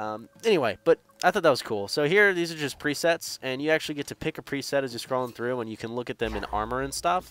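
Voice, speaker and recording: Lively intonation marks this man's medium-pitched voice as he talks at a very fast pace with hardly any pauses. The sound is dry and close, with no echo. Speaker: gaming youtuber. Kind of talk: casual commentary.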